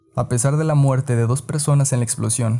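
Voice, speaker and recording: Music plays in the background as a man speaks. His pace is fairly quick and his intonation fairly even. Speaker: podcast narrator. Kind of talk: podcast history narration.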